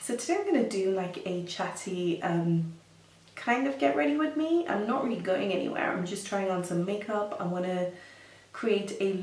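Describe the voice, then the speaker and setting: Audible room echo surrounds the voice. The pace is moderate, and the pitch varies in an ordinary way. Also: woman. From Kenya, Nairobi. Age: 30s. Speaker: makeup artist and beauty vlogger. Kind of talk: casual chat. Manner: hesitant, many fillers.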